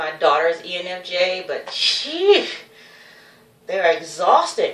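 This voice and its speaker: Through audible room echo and noticeable background noise, a woman speaks in an animated tone. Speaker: vlogger. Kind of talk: casual vlog monologue. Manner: rambling, self-interrupting.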